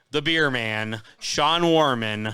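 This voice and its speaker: A man speaks loudly with a bright, sharp tone and ordinary pitch variation. The recording is very clean, with a silent background. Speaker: racing show host. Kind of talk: live streamed show chat. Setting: pizza parlor.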